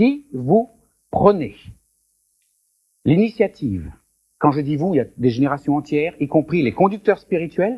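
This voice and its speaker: With long, frequent pauses, a man speaks at a fairly slow pace in a fairly high pitch, somewhat breathy, with a dark, mellow tone and very wide pitch swings. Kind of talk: question-and-answer session at a conference.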